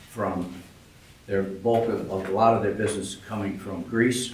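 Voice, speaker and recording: Over noticeable background noise and audible room echo, a man speaks at a fairly slow pace in a monotone, flat delivery. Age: 80s+. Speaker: public commenter, retired pharmacist. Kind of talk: public comment at a village board meeting. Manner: halting, with many fillers.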